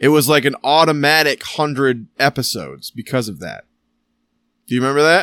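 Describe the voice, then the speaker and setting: On a very clean recording with a silent background and a dry, close sound with no echo, a man talks at a fairly quick pace in a fairly high pitch with a bright, sharp tone, ordinary pitch variation and big swings in loudness. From Michigan. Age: 30s. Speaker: podcast host. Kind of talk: casual chat.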